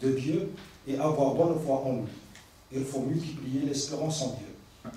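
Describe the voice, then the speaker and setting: A man with a non-native accent speaks at a fairly slow pace with ordinary pitch variation. There is noticeable background noise and audible room echo. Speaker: imam and Arabic teacher. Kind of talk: religious talk read from notes. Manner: halting.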